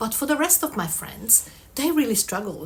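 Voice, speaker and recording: Speaking with a non-native accent, a woman sounds somewhat breathy as she goes at a fairly quick pace. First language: not English. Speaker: vlogger. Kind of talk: casual vlog monologue. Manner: conversational, frequent 'um' fillers.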